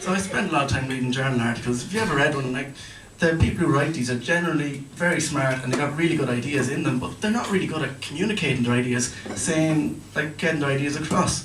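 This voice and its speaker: Amid noticeable background noise and audible room echo, a man with an Irish accent talks at a very fast pace, his fairly high pitch showing ordinary variation. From Ireland. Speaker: PhD student doing stand-up. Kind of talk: stand-up. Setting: stage with audience.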